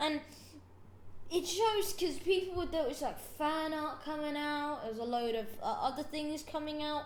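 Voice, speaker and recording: A woman speaks in a high pitch with an animated tone. Room echo is audible. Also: ordinary pitch variation, moderate pace. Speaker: podcast host. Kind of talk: casual chat. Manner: halting.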